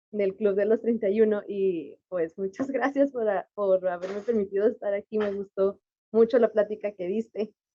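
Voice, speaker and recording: With a Mexican accent, a woman talks at a moderate pace. Her pitch sits in the medium range. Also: fairly even intonation. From Mexico. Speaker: audience participant. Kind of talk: Q&A comment.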